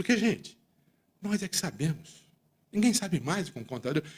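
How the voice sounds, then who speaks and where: A man's voice with vocal fry. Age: 60s. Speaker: accountant and business leader giving a talk. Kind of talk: speech to audience. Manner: animated.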